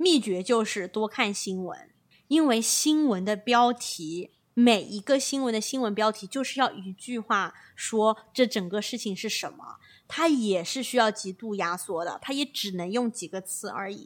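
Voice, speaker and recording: A woman with an ordinary speaking voice, fairly high pitch, lively intonation, big swings in loudness and a fairly slow pace, in a very clean recording with a silent background. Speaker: podcast co-host, management consultant. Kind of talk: casual chat.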